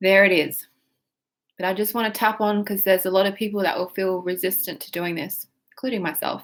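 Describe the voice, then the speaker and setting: Talking at a fairly quick pace, a woman speaks in an Australian accent. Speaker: tapping exercise guide.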